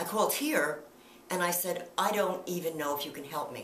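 Audible room echo and light background noise around a woman speaking at a moderate pace. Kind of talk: interview answer. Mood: earnest, emotional recollection.

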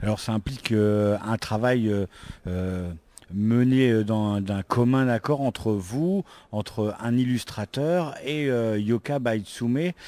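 A very slow male voice with a dark, mellow tone, ordinary pitch variation, and a dry sound with no echo. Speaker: interviewer at a convention. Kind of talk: interview. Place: hall.

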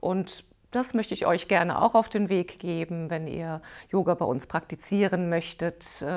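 The woman's pitch is fairly low, with ordinary variation. Behind her, the background stays quiet. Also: fairly slow pace. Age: 50s. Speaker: yoga teacher. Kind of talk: course promotion video; course presentation to camera. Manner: hesitant, many filler sounds. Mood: warm, friendly. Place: home room. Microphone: lapel.

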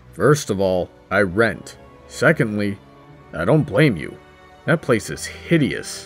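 A man uses a put-on character voice at a medium pitch and a fairly slow pace, with long, frequent pauses. Clear music plays in the background. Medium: comedy sketch.

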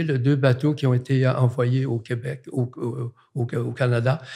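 A man speaks at a fairly slow pace and medium pitch, his voice somewhat breathy with a dark, mellow tone. His intonation is monotone and flat, against a quiet background. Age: 80s+. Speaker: artist; guest. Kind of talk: casual chat. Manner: halting. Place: studio. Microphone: studio mic.

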